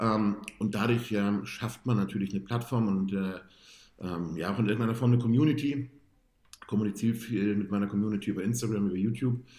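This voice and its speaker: At a very fast pace, a man with fairly low pitch and a dark, mellow tone speaks in fairly even intonation. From northern Germany, Hamburg-Bergedorf. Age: 30s. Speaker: amateur bodybuilder. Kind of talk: casual interview.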